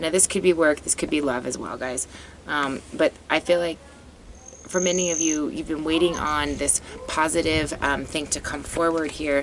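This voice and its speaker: Over noticeable background noise, a woman speaks at a very deep, low pitch with fairly even intonation. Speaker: psychic tarot reader. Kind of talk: tarot reading monologue. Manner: fast; halting with fillers.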